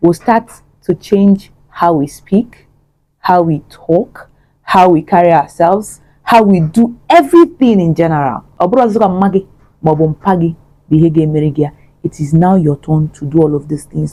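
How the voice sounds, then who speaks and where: With a dark, mellow tone, this woman's voice shows ordinary pitch variation. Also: fairly low pitch for a woman. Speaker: vlogger. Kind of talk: motivational talk to camera. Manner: fast; code-switching English and Igbo.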